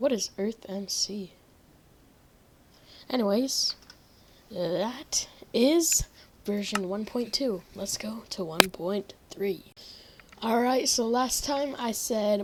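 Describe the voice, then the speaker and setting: Pausing long and often, a woman talks very slowly in a fairly high pitch with ordinary pitch variation amid noticeable background noise. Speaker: gaming youtuber. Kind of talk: gameplay commentary. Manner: casual, rambling.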